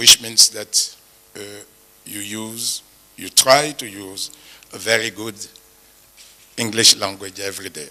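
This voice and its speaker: Amid noticeable background noise, a man with a French accent speaks fairly slowly in a fairly low pitch, with fairly even intonation, big swings in loudness and long, frequent pauses. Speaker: panelist. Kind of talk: forum talk. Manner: halting.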